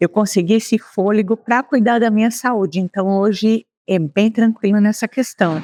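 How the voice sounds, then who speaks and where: Her fairly high pitch and dark, mellow tone carry fairly even intonation at a moderate pace, and the woman's recording is dry and close with no echo. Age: 60s. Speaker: retiree. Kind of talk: interview.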